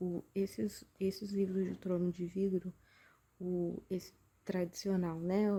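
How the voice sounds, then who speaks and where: A soft-spoken woman talks at a fairly slow pace. Her tone is dark, mellow and somewhat breathy. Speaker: book vlogger. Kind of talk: casual reading vlog. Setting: at home late at night. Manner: soft-spoken, speaking quietly.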